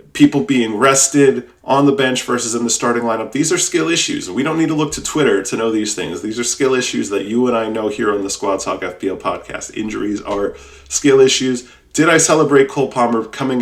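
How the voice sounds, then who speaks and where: A man's animated, very fast delivery with hardly any pauses, medium pitch and ordinary pitch variation, over noticeable background noise. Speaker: podcast host. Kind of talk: casual podcast monologue.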